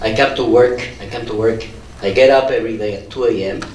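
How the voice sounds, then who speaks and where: A man's medium-pitched voice at a moderate pace, with noticeable background noise and audible room echo. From Andalusia, Spain (Huelva, Seville). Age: 60s. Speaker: scientist, university research group leader. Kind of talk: conference panel talk.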